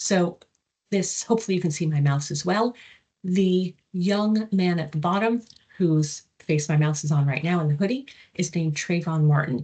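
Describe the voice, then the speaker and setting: A woman speaks with an American accent at a fairly low pitch, her tone dark and mellow. Her voice is somewhat breathy, with ordinary pitch variation at a moderate pace. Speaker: psychology professor. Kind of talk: lecture.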